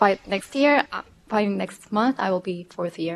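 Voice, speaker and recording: The woman's voice sits at a medium pitch. The sound is dry and close, with no echo. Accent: Korean. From Korea. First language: Korean. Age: 30s. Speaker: PhD candidate. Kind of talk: lecture. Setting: video link to remote audience. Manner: halting.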